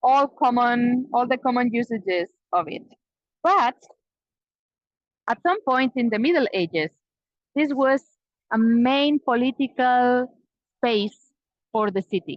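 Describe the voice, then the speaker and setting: With a Spanish accent, a woman speaks at a high pitch and a fairly slow pace, leaving long, frequent pauses. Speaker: Spanish teacher and tour guide. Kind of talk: live virtual tour guiding.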